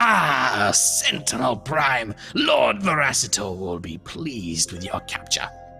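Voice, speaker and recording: A man puts on a character voice at a fairly low pitch, talking at a fairly slow pace with hardly any pauses. Clear music plays in the background. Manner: menacing, gloating.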